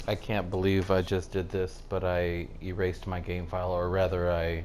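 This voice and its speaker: In a room with audible echo, a man with a very deep, low pitch speaks at a moderate pace in a monotone, flat intonation. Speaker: gamer doing a let's play. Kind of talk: casual gameplay commentary. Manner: mumbles sometimes.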